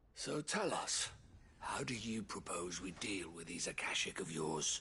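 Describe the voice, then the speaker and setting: A man whispers in a put-on character voice over clear background noise. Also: moderate pace. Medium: video game. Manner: urgent, emphatic.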